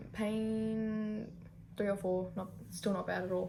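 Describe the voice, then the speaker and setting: With an Australian accent, a woman speaks with fairly even intonation. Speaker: youtuber. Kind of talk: casual vlog chat. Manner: casual, filler-heavy.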